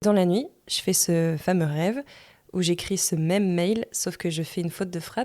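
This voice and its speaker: On a very clean recording with a silent background, a woman with an ordinary speaking voice talks at a moderate pace and fairly low pitch. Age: 30s. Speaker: podcast host. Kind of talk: personal storytelling monologue. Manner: casual.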